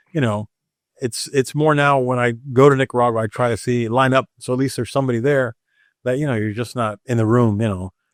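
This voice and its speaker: Over a quiet background, a man talks at a very fast pace with fairly even intonation, in a dry, close sound with no echo. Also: medium pitch for a man. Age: 60s. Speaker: cigar master blender. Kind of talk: casual chat.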